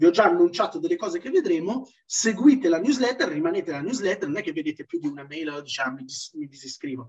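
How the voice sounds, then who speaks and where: Swinging very widely in pitch, a man talks in a high voice. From Italy, Trentino (Moroccan parents). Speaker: Islamic self-development speaker. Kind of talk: seminar talk. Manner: hesitant with fillers.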